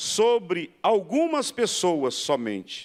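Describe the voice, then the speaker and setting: A man's high-pitched voice at a very slow pace, on a very clean recording with a silent background. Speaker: pastor. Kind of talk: lecture.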